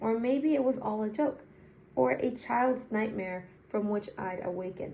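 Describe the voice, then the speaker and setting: This woman has a fairly high pitch, a dark, mellow tone and a somewhat breathy quality, with lively intonation and a non-native accent. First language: not English. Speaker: magazine reader, channel owner. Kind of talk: reading aloud. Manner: halting; self-correcting.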